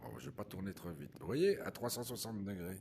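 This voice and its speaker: Lively intonation carries a man's speech along at a moderate pace. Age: 60s. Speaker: VR gaming YouTuber. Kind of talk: casual improvised gameplay commentary. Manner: hesitant.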